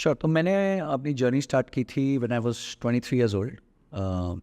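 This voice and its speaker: Speech moves at a moderate pace. The sound is dry and close, with no echo, over a quiet background. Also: man. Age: 40s. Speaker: personal finance investor. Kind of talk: podcast interview. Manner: hesitant with fillers.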